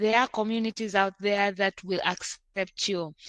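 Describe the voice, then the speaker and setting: A woman with a bright, sharp tone speaks at a fairly slow pace and medium pitch, in a dry, close sound with no echo. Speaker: podcast host, guest. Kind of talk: casual interview chat. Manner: loud; animated.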